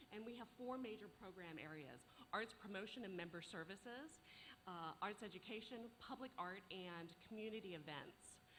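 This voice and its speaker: A woman talks at a medium pitch and moderate pace, with audible room echo around her voice. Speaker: arts organization leader. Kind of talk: conference presentation.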